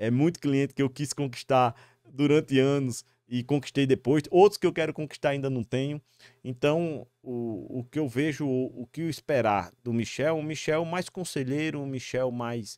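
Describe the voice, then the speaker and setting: A man's fairly high pitch with ordinary pitch variation, in a dry sound with no echo over a quiet background. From Brazil, Northeast (Natal, Rio Grande do Norte); Rio Grande do Norte, Brazil. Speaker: security company executive; guest. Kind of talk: interview. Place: studio. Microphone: studio mic.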